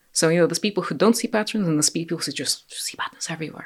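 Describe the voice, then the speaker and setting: With a Russian accent, a woman with a fairly low pitch and ordinary pitch variation is heard in a very clean recording with a silent background. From Ukraine (Russian-speaking family). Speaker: podcast guest. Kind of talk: casual conversation.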